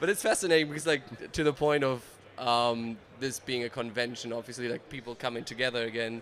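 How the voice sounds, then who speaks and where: A man talks at a very fast pace. His medium-pitched voice keeps a fairly even intonation. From Germany. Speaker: advertising creative and content creator. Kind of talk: casual chat. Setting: trade convention.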